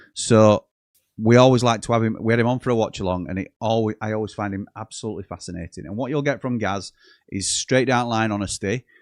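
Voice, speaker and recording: Against a quiet background, a man with a South Yorkshire accent talks at a very fast pace and medium pitch with fairly even intonation, the sound dry and close with no echo. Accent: Yorkshire, Barnsley twang. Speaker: football fan channel host. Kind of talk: live football watchalong chat. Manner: conversational, casual.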